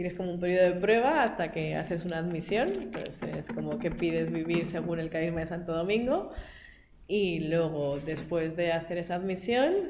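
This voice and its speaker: Amid audible room echo, a woman speaks at a fairly low pitch with ordinary pitch variation. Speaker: lay Dominican, school worker. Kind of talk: testimony talk to a group. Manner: fast.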